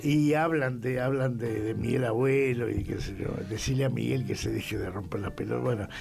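With a Rioplatense accent, a man speaks at a medium pitch and a moderate pace. Room echo is audible, along with noticeable background noise. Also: ordinary pitch variation. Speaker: rock journalist and writer. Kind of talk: casual chat.

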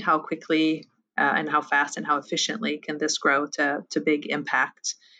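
A bright, sharp tone in a French accent at a moderate pace, over a quiet background. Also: woman. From France. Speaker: impact investor, nonprofit fund director. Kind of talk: interview. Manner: hesitant, with many fillers.

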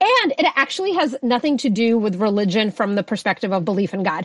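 Her pitch medium and her intonation lively, a woman talks at a fairly quick pace.

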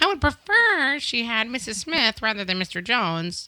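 A female-sounding voice performs a put-on character voice at a fairly high pitch. The pace is moderate. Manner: demanding, fussy.

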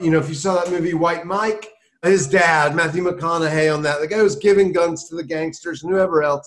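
Here a man speaks with an American accent. His pitch is high and his pace fairly quick. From US South, South Carolina. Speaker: journalist and author. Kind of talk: interview. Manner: animated.

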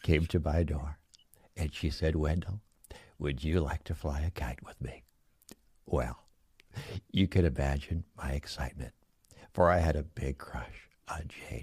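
A man speaks at a fairly slow pace in a very deep, low voice with vocal fry. His pitch varies in an ordinary way. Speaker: library caller character.

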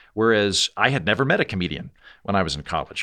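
Lively intonation and a bright, sharp tone mark this very fast American-accented speech, captured in a very clean recording with a silent background. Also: man. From Oklahoma. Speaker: political satirist and podcast host. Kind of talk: interview conversation.

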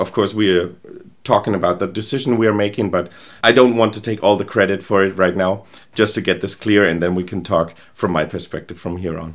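A man's fairly low voice, fairly quick in pace, with fairly even intonation. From Germany, Rheingau near Frankfurt. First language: German. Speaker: agency founder and product strategist. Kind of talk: interview.

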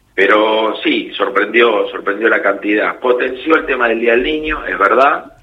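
A man with an ordinary speaking voice, medium pitch, ordinary pitch variation, a fairly slow pace and hardly any pauses. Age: 40s. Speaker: kiosk owner. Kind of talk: radio interview.

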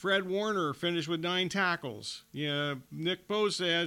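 A man talks at a high pitch and a fairly slow pace with ordinary pitch variation. His tone is bright and sharp, and the recording is very clean with a silent background. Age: 60s. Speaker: radio sports host. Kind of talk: casual sports talk radio.

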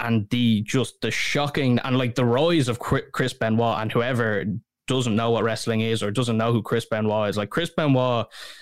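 In a Dublin accent, a man at a medium pitch talks at a moderate pace with fairly even intonation, captured in a very clean recording with a silent background. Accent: Dublin Irish. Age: 20s. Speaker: podcast host. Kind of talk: casual chat.

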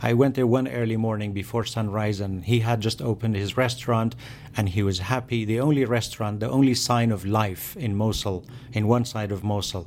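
A man with a Kurdish accent, medium pitch, a fairly quick pace and fairly even intonation. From Kurdish region of Iraq. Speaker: journalist and author. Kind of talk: interview. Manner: halting, frequent fillers.

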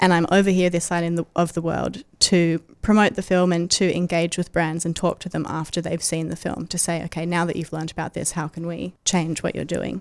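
A woman with an Australian accent, fairly low in pitch, monotone and flat in intonation, at a fairly quick pace with hardly any pauses. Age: 20s. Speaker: animal rights activist and author. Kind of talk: interview conversation.

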